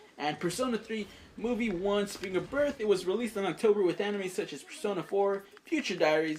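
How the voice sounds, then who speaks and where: The speech moves at a fairly quick pace with ordinary pitch variation, and there is noticeable background noise. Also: woman, medium pitch for a woman. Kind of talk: anime review.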